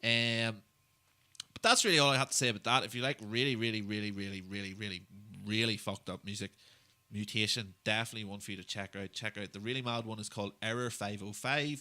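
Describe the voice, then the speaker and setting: The voice has a bright, sharp tone and fairly even intonation with big swings in loudness at a very fast pace. The recording is very clean with a silent background. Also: man, fairly low pitch for a man. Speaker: music podcast host. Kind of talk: casual chat. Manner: casual, heavy swearing.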